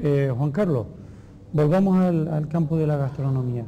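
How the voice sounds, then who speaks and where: This somewhat breathy voice has a dark, mellow tone, ordinary pitch variation and a fairly slow pace, with light background noise. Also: man. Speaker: TV interviewer. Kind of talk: interview. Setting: at a school. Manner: formal. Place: home room. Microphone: lapel.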